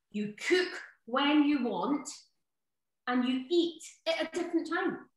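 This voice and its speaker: In a Scottish accent, a woman speaks with a high voice. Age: 40s. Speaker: cookery author. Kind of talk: online workshop. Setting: video call. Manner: animated.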